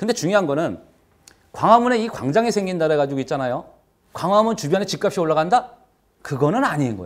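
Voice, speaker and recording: A man with a high pitch talks at a very fast pace, his intonation lively. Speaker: real estate instructor. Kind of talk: lecture.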